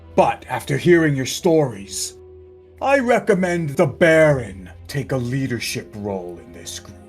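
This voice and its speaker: A man puts on a character voice with very wide pitch swings around a medium pitch. He talks at a moderate pace over faint music in the background. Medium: actual play. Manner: measured, formal.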